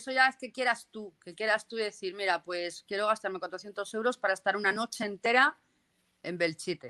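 In a Castilian accent, a woman with medium pitch speaks at a moderate pace with ordinary pitch variation and a bright, sharp tone, her loudness swinging widely in a dry, close sound with no echo. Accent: Castilian Spanish (Spain). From Castile and León, Spain (near Burgos). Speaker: paranormal investigator. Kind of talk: casual interview.

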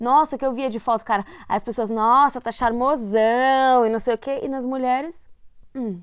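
This woman has a high pitch and fairly even intonation, speaking at a moderate pace. The recording is very clean, with a silent background. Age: 30s. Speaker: podcast co-host. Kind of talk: casual chat.

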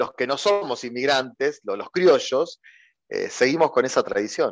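A man with a Rioplatense accent speaks at a moderate pace against a quiet background. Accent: Argentine Spanish (rioplatense). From Argentina, Santa Fe. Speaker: philosophy teacher and educational YouTuber. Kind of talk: interview. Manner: hesitant with repetitions.

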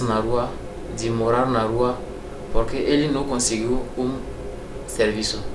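A man with a French accent speaks at a medium pitch. Audible room echo and noticeable background noise are present. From Togo. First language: French (speaking Portuguese). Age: 30s. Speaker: immigrant kitchen assistant. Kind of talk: interview.

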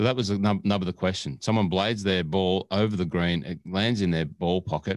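A man with an Australian accent speaks at a very deep, low pitch and a fairly quick pace. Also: very clean recording, silent background. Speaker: podcast co-host and producer. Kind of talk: casual chat. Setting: studio. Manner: animated.

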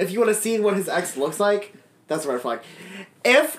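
The speaker goes at a moderate pace amid noticeable background noise. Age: 20s. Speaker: podcast co-host. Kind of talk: casual chat.

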